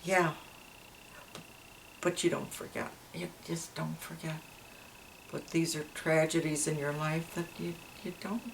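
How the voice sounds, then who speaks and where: Fairly even intonation at a fairly slow pace, with long, frequent pauses and noticeable background noise. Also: woman, very deep, low pitch for a woman. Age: 80s+. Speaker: grandmother. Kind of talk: interview answer.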